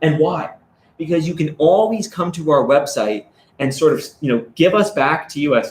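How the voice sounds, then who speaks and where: A normal speaking voice at a moderate pace. The intonation is lively. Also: man, fairly high pitch for a man. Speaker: stablecoin company representative. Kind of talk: live stream interview. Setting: live stream.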